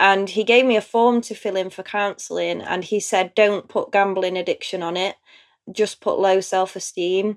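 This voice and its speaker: In a strong East Midlands accent, a woman speaks in a flat monotone on a very clean recording with a silent background. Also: medium pitch for a woman, moderate pace. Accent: strong Derbyshire East Midlands English. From Chesterfield, Derbyshire, England. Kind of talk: interview about personal story.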